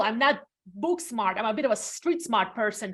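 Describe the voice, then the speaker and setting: A woman with a non-native accent speaks at a high pitch with lively intonation on a very clean recording with a silent background. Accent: foreign. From Latvia. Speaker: realtor. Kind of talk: interview.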